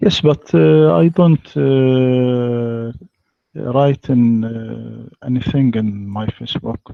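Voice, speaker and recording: A man with an Egyptian accent at a very slow pace, medium in pitch with lively intonation. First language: Arabic. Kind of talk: live online debate. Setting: online voice call. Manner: halting, hesitant English.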